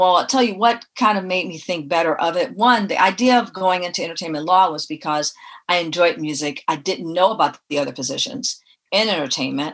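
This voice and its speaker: Speaking at a fairly quick pace with an American accent, a woman has a plain, everyday voice, fairly low in pitch, with lively intonation. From Detroit, Michigan, US. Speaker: music industry executive. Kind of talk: interview.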